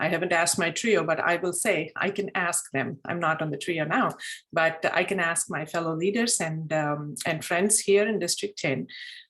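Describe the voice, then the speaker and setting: A woman with a fairly low pitch speaks at a moderate pace, with ordinary pitch variation and hardly any pauses. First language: Telugu. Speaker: Toastmasters district leader. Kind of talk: group meeting discussion.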